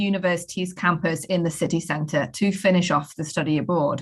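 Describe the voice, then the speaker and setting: Speaking in a British accent, a woman sounds somewhat breathy. Her pace is moderate. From UK. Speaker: professor. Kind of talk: program overview presentation.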